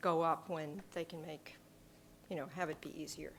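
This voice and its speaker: A fairly low female voice at a moderate pace. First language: not English. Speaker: selectboard member. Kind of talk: public meeting discussion.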